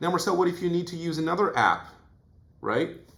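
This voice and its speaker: A man speaks with vocal fry. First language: Portuguese. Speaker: self-improvement youtuber. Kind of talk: vlog monologue.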